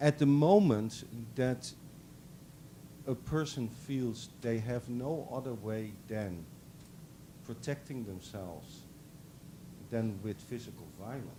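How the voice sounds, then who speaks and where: With audible room echo, a man of medium pitch and a dark, mellow tone speaks at a very slow pace with ordinary pitch variation and long, frequent pauses. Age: 60s. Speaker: professor. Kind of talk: lecture Q&A answer. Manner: halting, many fillers.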